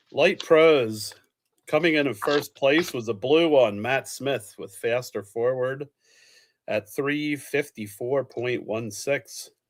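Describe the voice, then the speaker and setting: A man with a fairly high pitch and an American accent, at a very slow pace with ordinary pitch variation. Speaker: live show host. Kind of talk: casual live chat reading results.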